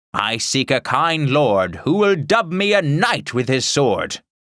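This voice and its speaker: A man's fairly high put-on character voice with very wide pitch swings and very even loudness, at a fairly slow pace, on a very clean recording with a silent background. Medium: read story. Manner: grandiose, formal.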